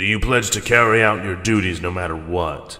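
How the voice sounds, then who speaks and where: A man performs a put-on character voice. His pitch is very deep and low, with ordinary pitch variation. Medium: read story. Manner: cold, commanding.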